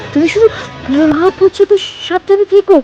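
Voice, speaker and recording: A woman's put-on character voice at a moderate pace. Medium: read story.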